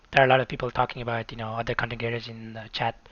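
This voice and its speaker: Speaking at a very fast pace in a South Asian accent, a man of medium pitch keeps a monotone, flat intonation. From Nepal. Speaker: video game streamer. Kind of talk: live stream commentary. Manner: hesitant, many fillers.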